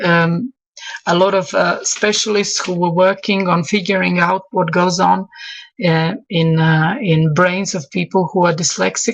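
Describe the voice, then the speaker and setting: In a Croatian accent, a woman speaks at a fairly slow pace with fairly low pitch and ordinary pitch variation. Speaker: English teacher. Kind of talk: online expert talk. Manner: halting, many fillers and repetitions.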